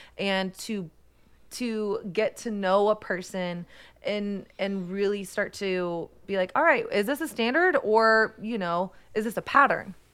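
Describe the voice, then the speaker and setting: A woman with an American accent, an ordinary speaking voice at medium pitch, ordinary pitch variation and a fairly slow pace, on a very clean recording with a silent background. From Texas. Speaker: podcast host, author and photographer. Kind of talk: interview conversation.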